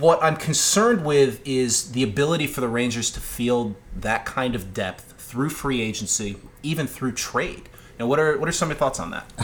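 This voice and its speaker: A man with a medium pitch talks at a moderate pace with lively intonation, against noticeable background noise. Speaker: podcast co-host. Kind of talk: casual chat. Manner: smooth-speaking.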